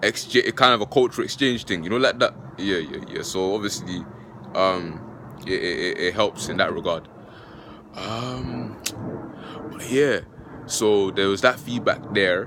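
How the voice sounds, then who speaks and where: Over noticeable background noise, a fairly low-voiced man talks at a fairly slow pace with lively intonation and long, frequent pauses. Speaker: philosophy YouTuber. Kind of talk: casual vlog talk. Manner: halting, many fillers.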